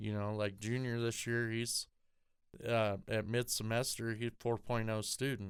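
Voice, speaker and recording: A man speaks in an American accent at a fairly slow pace. His intonation is monotone and flat, and his loudness stays very even. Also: medium pitch for a man. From Colorado, US. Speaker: podcast guest, recovering alcoholic father. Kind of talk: casual chat.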